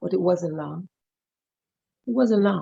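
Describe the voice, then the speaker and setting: A woman's dark, mellow tone with vocal fry, in a dry, close sound with no echo. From Jamaica. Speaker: author and storyteller. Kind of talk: personal story told in interview. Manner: dramatic storytelling.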